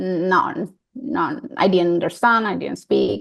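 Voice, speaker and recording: A woman with a Colombian accent. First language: Spanish. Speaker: coaching client. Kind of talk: coaching session. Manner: halting.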